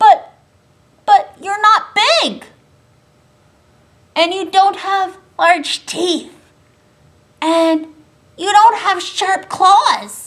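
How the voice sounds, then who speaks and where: A woman uses a put-on character voice at an extremely high pitch, speaking very slowly with long, frequent pauses. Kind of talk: bedtime story. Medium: read story.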